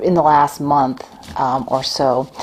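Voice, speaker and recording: Soft-spoken and fairly slow, a woman with an American accent talks in a very deep, low voice with ordinary pitch variation over noticeable background noise. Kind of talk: casual talk to camera. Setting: at home. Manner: halting with fillers.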